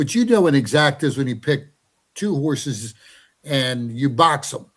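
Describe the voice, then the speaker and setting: A man's fairly high, somewhat breathy voice moves at a moderate pace with ordinary pitch variation. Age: 60s. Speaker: horse racing handicapper. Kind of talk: casual chat. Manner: repetitive, stammering.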